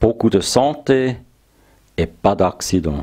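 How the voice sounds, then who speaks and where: A man's medium-pitched voice with a German accent, very wide pitch swings and a very slow pace, in a very clean recording with a silent background. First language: German (speaking French). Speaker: woodworking YouTuber. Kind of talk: casual vlog address. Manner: halting, frequent hesitations.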